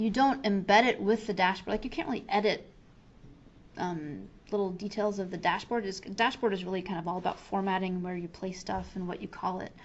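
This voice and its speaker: A woman speaks at a medium pitch and a fairly quick pace. Her pitch varies in an ordinary way. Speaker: software trainer. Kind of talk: tutorial. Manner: fast; casual, with fillers.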